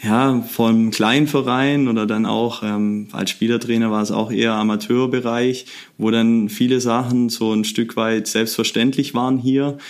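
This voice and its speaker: The delivery is monotone and flat at a fairly slow pace. Loudness stays very even throughout. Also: man, medium pitch for a man. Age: 20s. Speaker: youth football coach. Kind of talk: interview.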